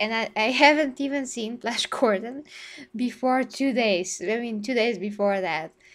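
In a Bulgarian accent, a woman speaks at a fairly high pitch with lively intonation. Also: quiet background. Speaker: gaming YouTuber. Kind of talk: live stream discussion.

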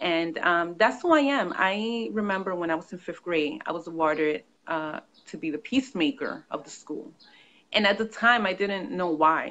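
A woman with an American accent, very wide pitch swings and a moderate pace. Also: medium pitch for a woman, big swings in loudness. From New York. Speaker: author and consultant. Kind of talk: interview. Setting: video call.

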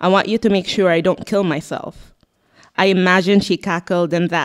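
A woman's monotone, flat delivery at a moderate pace, over a quiet background. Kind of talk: literary reading. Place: shop. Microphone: handheld.

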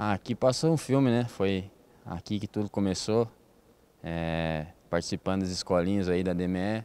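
The pace is fairly slow, with long, frequent pauses and ordinary pitch variation. The tone is dark and mellow, and the sound is dry with no echo. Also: man, very deep, low pitch for a man. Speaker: futsal player. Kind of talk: interview. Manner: halting. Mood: relaxed, smiling. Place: hall. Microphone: handheld.

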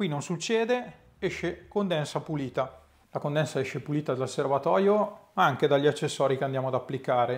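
A man's fairly high voice with lively intonation, in a very clean recording with a silent background. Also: moderate pace. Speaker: DIY workshop YouTuber. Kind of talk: product review tutorial. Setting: home workshop.

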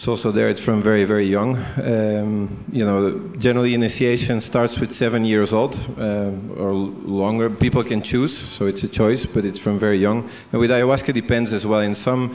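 At a moderate pace and with few pauses, a man speaks in a fairly low, slightly mellow voice with little pitch movement over faint background noise.

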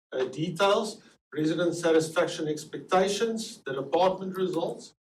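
Audible room echo surrounds a man who speaks with a South African accent, a high pitch and ordinary pitch variation. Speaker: survey researcher presenting results. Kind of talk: presentation to city council. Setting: city council meeting.

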